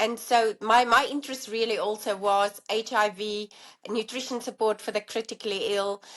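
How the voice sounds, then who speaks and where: Flat, monotone intonation runs through delivery that keeps a moderate pace. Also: woman, fairly high pitch for a woman. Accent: South African. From South Africa. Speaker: allergy dietitian and professor. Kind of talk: interview conversation.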